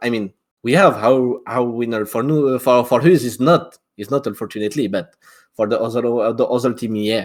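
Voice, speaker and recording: A man with a French accent talks at a moderate pace with ordinary pitch variation. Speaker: esports caster. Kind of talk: live commentary. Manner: halting.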